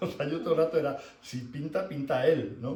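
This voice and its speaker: At a moderate pace, a man talks while audible room echo trails his voice. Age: 60s. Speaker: shiatsu teacher. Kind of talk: lecture. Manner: conversational, many filler words.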